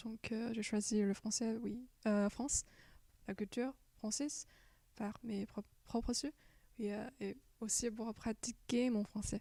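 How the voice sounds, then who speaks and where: Speaking very slowly with long, frequent pauses, a woman keeps her fairly high pitch in a monotone, flat intonation. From China. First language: Chinese (speaking French). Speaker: exchange student. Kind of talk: interview. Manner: halting, many hesitations.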